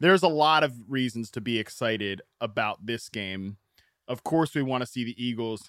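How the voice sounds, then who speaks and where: The man has an unremarkable speaking voice, talking at a moderate pace with ordinary pitch variation. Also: medium pitch for a man, dry, close sound with no echo. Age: 30s. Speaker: fantasy football podcast host. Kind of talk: casual chat.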